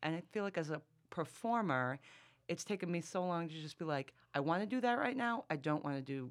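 An American accent comes through. The speech moves at a moderate pace. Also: woman. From Massachusetts. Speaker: comedy writer. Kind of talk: casual chat.

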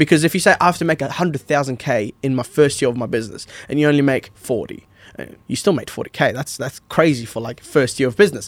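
A man with an Australian accent at a fairly high pitch, fairly quick pace and ordinary pitch variation, in a dry, close sound with no echo. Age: 20s. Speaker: podcast host. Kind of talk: casual chat.

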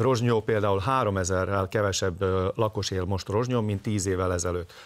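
Heard in a very clean recording with a silent background, a normal speaking voice moves through ordinary pitch variation. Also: man. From southern Slovakia, Hungarian minority. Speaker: ethnic minority party leader. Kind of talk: political interview.

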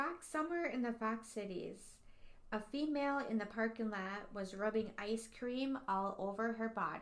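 A woman with an ordinary speaking voice and a fairly high pitch talks at a moderate pace. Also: ordinary pitch variation. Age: 40s. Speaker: podcast co-host. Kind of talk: casual chat.

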